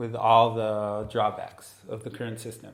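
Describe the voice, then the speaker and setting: A man with an Israeli accent speaks at a medium pitch and a fairly slow pace, his intonation monotone and flat. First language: Hebrew. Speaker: neuroscientist. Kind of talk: casual chat. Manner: halting.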